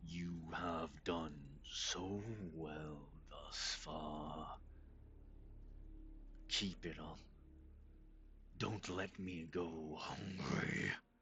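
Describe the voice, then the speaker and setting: A man whispers in a put-on character voice at a very slow pace, with long, frequent pauses. Clear background noise sits behind him. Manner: whispering, creepy.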